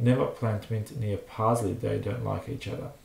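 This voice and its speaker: With a non-native accent, this man delivers his words at a moderate pace. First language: not English. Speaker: home gardener, channel owner. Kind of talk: reading aloud with commentary. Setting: live stream. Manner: hesitant, with fillers.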